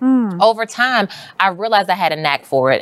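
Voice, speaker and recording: Her intonation is lively. This woman has a plain, everyday voice. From US, West Baltimore, Maryland. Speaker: journalist and media entrepreneur. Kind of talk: interview conversation. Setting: studio.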